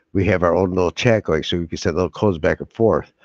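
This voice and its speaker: Recorded with a dry, close sound and no echo, a man with an American accent speaks in a very deep, low pitch with ordinary pitch variation. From upstate New York. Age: old. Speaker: YouTuber and first amendment auditor. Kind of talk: casual live stream chat. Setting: live video stream.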